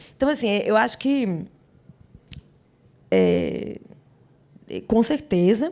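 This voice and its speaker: Speaking very slowly, a woman leaves long pauses again and again. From Brazil, Rio Grande do Norte (Natal). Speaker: singer and actress. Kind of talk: interview. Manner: animated, with repetitions.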